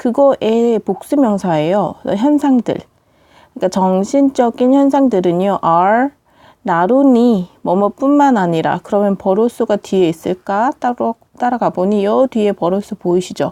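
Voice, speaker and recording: A woman speaks at a fairly high pitch and a fairly slow pace in a dark, mellow tone with lively intonation. Her loudness stays very even, and the recording is dry, close, echo-free and very clean with a silent background. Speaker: English teacher. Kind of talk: lecture.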